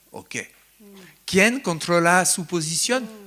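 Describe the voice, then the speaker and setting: In a French accent, the speaker talks at a fairly slow pace with lively intonation and a bright, sharp tone. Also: man. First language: French (speaking Spanish). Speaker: psychoanalyst, invited lecturer. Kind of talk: lecture with questions from the audience. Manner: halting, searching for words.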